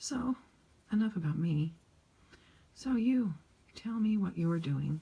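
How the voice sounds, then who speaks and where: Speaking quietly at a very slow pace, a woman uses lively intonation in a dark, mellow, somewhat breathy voice. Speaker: coloring channel creator. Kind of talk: casual chat while coloring. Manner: quiet, subdued.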